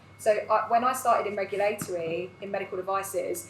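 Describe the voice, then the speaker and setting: Amid noticeable background noise, a woman talks at a medium pitch with fairly even intonation. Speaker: recruitment business owner. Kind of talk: live panel discussion. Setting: live event with audience. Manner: loud.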